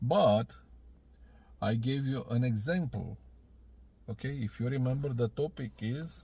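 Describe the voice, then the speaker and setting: On a very clean recording with a silent background, a man with a Romanian accent speaks at a fairly slow pace and medium pitch, somewhat breathy, with ordinary pitch variation and long, frequent pauses. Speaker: video blogger. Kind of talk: video reply. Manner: halting.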